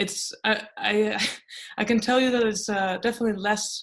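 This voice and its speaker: Fairly even intonation carries a woman's speech at a moderate pace. The background is quiet. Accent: Dutch. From Netherlands. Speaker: lecturer and writer. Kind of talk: online lecture.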